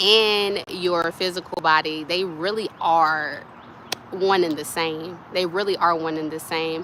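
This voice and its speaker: Over noticeable background noise, a woman speaks fairly slowly in a fairly low pitch with monotone, flat intonation. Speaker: spiritual wellness vlogger. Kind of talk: casual spiritual advice talk. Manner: soft-spoken, speaks low; casual, meandering.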